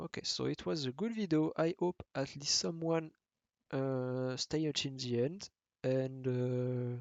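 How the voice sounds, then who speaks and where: A man with a French accent, medium pitch and ordinary pitch variation. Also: fairly slow pace. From France. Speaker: podcast host. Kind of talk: casual chat. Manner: halting.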